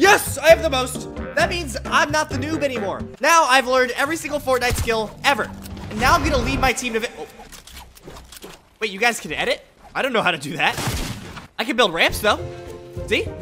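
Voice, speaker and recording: An energetic, playful male voice with long, frequent pauses over background music. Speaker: gaming video creator. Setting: in-game voice chat. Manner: energetic, playful self-deprecating commentary.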